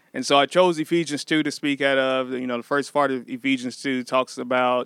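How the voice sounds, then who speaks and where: With a dry, close sound and no echo, a man at medium pitch speaks at a fairly quick pace in a monotone, flat intonation. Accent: American. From Missouri, US Midwest. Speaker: pastor. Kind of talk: casual chat.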